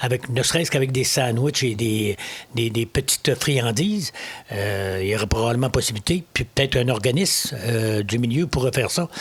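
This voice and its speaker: A man with a Quebec accent speaks at a moderate pace and a medium pitch. His voice is somewhat breathy. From Quebec, Lower St. Lawrence (Mont-Joli). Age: 70s. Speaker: municipal election candidate. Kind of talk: interview. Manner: halting, frequent repetitions and hesitations.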